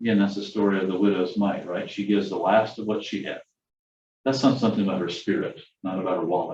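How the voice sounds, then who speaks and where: A man with a fairly low pitch speaks at a very fast pace. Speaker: church class teacher. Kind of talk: lecture.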